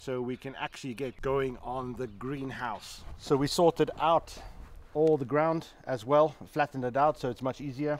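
A man at a moderate pace, fairly even intonation, dry sound with no echo. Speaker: builder vlogger. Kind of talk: casual vlog chat. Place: garden.

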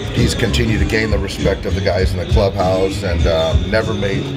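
A man talks at a moderate pace over loud background music. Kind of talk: press scrum interview answers. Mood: measured, calm. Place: stadium. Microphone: handheld.

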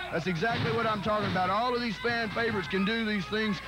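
Music plays in the background as a man speaks at a very fast pace. His pitch is high and his intonation fairly even. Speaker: wrestling color commentator. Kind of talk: live wrestling color commentary. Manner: partisan, cheering on a favored wrestler.

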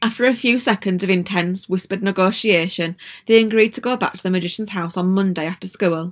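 The pitch moves with ordinary variation. It comes across as an unforced reading voice.

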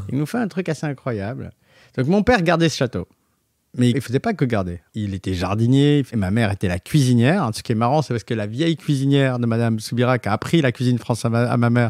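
A man speaks at a very fast pace with lively intonation and medium pitch. The recording is very clean and dry, with a silent background and no echo. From southwestern France, Montauban area. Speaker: designer and entrepreneur. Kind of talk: interview, casual storytelling.

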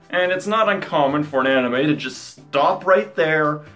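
A man speaks at a fairly slow pace. Faint music plays behind him. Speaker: video reviewer. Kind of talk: commentary. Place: home room.

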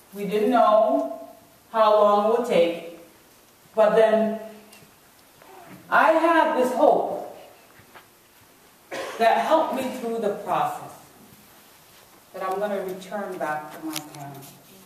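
Inside strong room echo, a woman speaks at a very slow pace with very wide pitch swings and long, frequent pauses. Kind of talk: personal testimony talk. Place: hall. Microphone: camera far.

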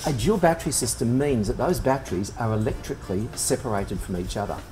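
Words rush out of a man at great speed. Soft music lingers faintly underneath. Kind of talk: tutorial. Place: workshop.

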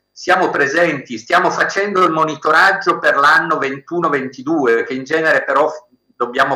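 A man talks against a quiet background. The room echo is audible, and his pitch varies in an ordinary way. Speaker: professor. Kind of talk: formal address. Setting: video call. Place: home room. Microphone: video call.

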